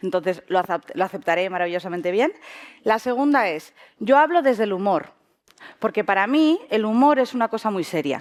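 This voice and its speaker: Her pitch is fairly high and swings very widely. The woman talks at a fairly quick pace. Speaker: sociologist. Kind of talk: lecture. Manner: fast; animated.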